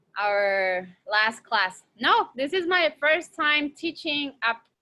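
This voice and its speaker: A woman is speaking. She has a Mexican accent. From Mexico, Torreon. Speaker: teacher. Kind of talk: online class lecture. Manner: casual, hesitant with fillers.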